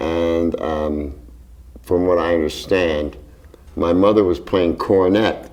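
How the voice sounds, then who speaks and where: This man speaks with an American accent. His pitch is very deep and low. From Philadelphia, Strawberry Mansion. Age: 70s. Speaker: jazz drummer. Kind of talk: interview. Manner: hesitant, with fillers.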